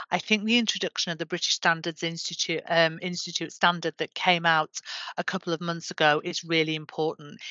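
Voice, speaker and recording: A woman's fairly low voice with a Yorkshire accent, at a moderate pace with fairly even intonation. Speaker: government menopause champion. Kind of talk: interview.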